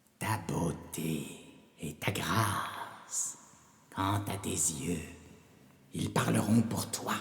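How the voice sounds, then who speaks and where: A put-on character voice with a menacing tone, very slow pace, long, frequent pauses and a clear echo. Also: man, very deep, low pitch for a man. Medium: read story. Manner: cackling, menacing.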